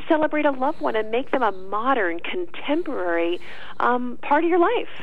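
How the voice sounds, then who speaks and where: With an American accent, a woman speaks in a high, upbeat voice at a fairly quick pace, her pitch swinging very widely. Noticeable background noise sits behind her. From New York. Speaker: journalist and author. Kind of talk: radio interview. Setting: phone call.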